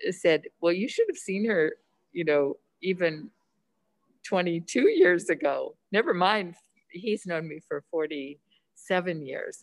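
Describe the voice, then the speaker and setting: Very slowly, a woman speaks at a fairly low pitch with ordinary pitch variation, the sound dry and close with no echo. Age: 70s. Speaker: food addiction counselor. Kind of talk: interview conversation.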